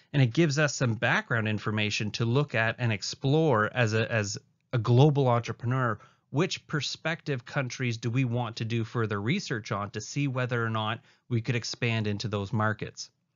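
At a moderate pace, a man talks in an ordinary speaking voice at a medium pitch. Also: fairly even intonation. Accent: Canadian. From Canada. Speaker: university lecturer. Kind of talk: recorded lecture.

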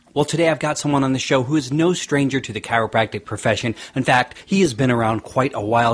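A somewhat breathy man with a medium pitch speaks at a fairly quick pace, with hardly any pauses and ordinary pitch variation. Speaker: podcast host and chiropractor. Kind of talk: podcast interview.

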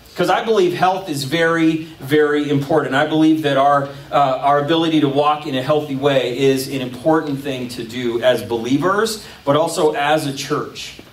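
A man speaks at a moderate pace with ordinary pitch variation, hardly pausing at all, and the room echo is audible. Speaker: pastor. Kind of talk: sermon. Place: stage.

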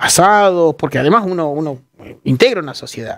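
The speech runs at a moderate pace over a quiet background. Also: man. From Argentina, La Pampa (General Pico); La Pampa, Argentina. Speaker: journalist. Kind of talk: interview. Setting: studio. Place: studio. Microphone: headset.

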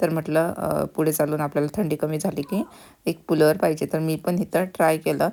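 A woman's very deep, low voice, dark and mellow, with vocal fry and monotone, flat intonation. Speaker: vlogger. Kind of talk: casual vlog narration.

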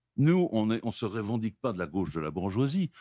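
Against a quiet background, a man speaks in a dark, mellow tone with very wide pitch swings. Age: 60s. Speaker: military historian; talk show guest. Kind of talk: casual chat. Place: studio. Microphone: studio mic.

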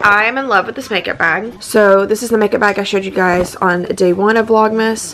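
A woman at a moderate pace with fairly even intonation, light background noise behind her. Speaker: vlogger. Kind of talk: casual vlog chat. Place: home room. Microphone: phone near.

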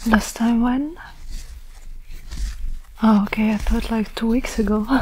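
A soft-spoken woman talks in a flat monotone over light background noise. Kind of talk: roleplay addressing viewer. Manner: soft-spoken, hushed close-mic ASMR voice. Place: home room. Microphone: phone near.

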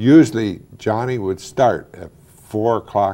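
The speaker has an American accent and a dark, mellow tone. The pace is fairly slow, with ordinary pitch variation. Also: man. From Wadsworth, Ohio; Ohio. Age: 60s. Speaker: former mayor; interviewee. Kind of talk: oral history interview. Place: studio.

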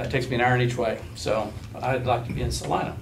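A man speaks at a fairly quick pace. Light background noise is audible. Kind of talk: presentation to officials. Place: meeting room. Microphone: camera far.

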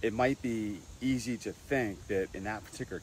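A man at a moderate pace, dry with no echo, over light background noise. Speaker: dental health educator. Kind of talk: explanatory tutorial. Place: garden. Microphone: lapel.

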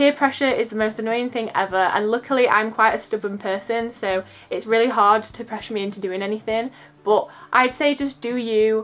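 A woman with an English accent talks at a fairly quick pace. Her fairly high voice keeps a fairly even intonation. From England. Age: 20s. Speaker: YouTuber, university student; YouTuber. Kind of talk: casual vlog chat. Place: home room. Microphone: phone near.

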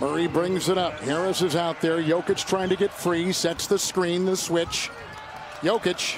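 A man's high voice, fairly slow and monotone with flat intonation, very even in loudness, dry with no echo, against noticeable background noise. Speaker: play-by-play commentator. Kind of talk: live sports commentary, play-by-play of a basketball game. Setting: broadcast, arena game coverage. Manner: punchy, clipped call of action.

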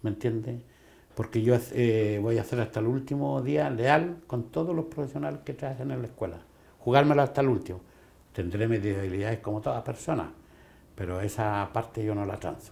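A man with a dark, mellow tone and medium pitch speaks at a moderate pace, somewhat breathy, with lively intonation. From Chile. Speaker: school principal. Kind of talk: interview; interview answer. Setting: office. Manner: halting. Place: office. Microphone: lapel.

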